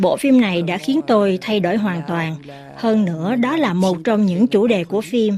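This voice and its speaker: Speaking at a fairly slow pace, a woman uses a normal speaking voice at medium pitch with lively intonation. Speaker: voice-over translator. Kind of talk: translated voice-over.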